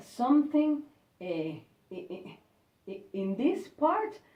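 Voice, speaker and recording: With a Spanish accent, a woman speaks at a fairly slow pace in a somewhat breathy voice. Her pitch swings very widely. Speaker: university staff member. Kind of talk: English speaking practice interview. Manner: halting.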